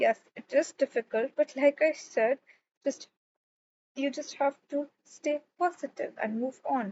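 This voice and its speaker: Using a put-on character voice, a woman speaks fairly slowly in a high, strained pitch, her loudness swinging widely. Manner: strained, forced politeness, through gritted teeth.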